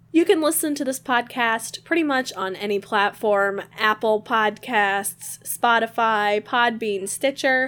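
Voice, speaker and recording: In a normal speaking voice, a woman speaks at a fairly high pitch with ordinary pitch variation. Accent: American. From Michigan. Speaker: podcast co-host. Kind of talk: casual chat. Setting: video call.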